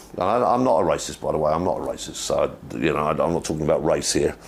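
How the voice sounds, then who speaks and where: Amid noticeable background noise, a man's speech moves at a fairly quick pace. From England. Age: 50s. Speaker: livestream host, expat commentator. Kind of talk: casual livestream monologue. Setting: livestream. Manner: repetitive, halting with restarts.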